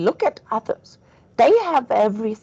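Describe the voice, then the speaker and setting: This is a put-on character voice. It sounds whiny. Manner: whiny, victimized.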